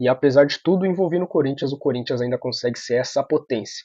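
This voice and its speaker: This soft-spoken voice has ordinary pitch variation. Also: man. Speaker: football news youtuber. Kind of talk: opinion vlog commentary. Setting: apartment at night. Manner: soft-spoken, quiet. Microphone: computer or phone mic, audio sometimes low.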